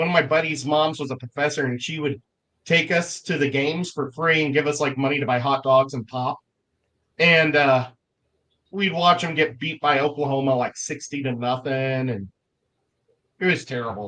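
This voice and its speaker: A man with an American accent speaks at a moderate pace, his pitch fairly high and his tone bright and sharp. His pitch varies in an ordinary way, and he leaves long, frequent pauses. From Missouri, US Midwest. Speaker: livestream guest, aquarium hobbyist. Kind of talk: casual chat.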